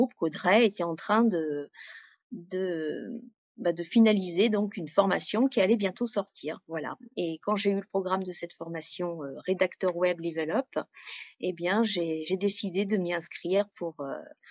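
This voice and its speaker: A woman speaks at a fairly slow pace with ordinary pitch variation and a medium pitch. She has an ordinary speaking voice. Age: 40s. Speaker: freelance web writer. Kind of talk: interview testimony.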